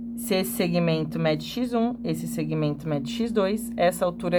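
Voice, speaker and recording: A woman speaks at a moderate pace in a room with audible echo. Noticeable background noise runs underneath. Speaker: geometry drawing teacher. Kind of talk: tutorial.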